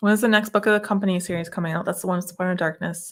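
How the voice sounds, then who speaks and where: A woman mumbles. Her voice sits at a medium pitch. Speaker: romance author and video show host. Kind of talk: casual chat. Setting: video livestream. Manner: mumbling.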